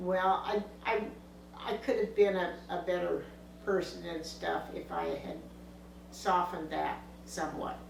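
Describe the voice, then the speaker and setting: There is audible room echo and noticeable background noise as a woman speaks at a fairly slow pace, leaving long, frequent pauses. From US West Coast, Los Angeles area. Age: 80s+. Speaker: family elder interviewed about her life. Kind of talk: family oral-history interview. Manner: halting, many fillers and restarts.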